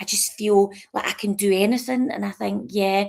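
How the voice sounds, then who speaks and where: Here a woman speaks in a Scottish accent. Her pitch is medium. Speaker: author and livestream host. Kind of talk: casual live-stream chat. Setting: live stream from a sofa at her mom's. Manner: chatty, with frequent fillers and restarts.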